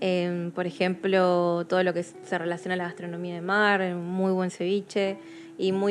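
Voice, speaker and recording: A woman's medium-pitched voice in a monotone, flat delivery. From Peru (Chiclayo), raised partly in Argentina. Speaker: photographer. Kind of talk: interview.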